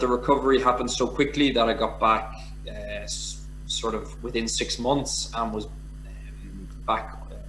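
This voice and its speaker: A man speaks at a fairly slow pace with a Dublin accent. The room echo is audible and background noise is noticeable. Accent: Irish (Dublin). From Ireland, Dublin. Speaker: former professional rugby player. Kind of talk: casual interview.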